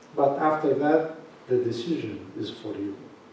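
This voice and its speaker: Someone with a non-native accent talks at a very slow pace, with audible room echo and noticeable background noise. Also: man. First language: not English. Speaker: bishop. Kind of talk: question and answer session. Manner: halting.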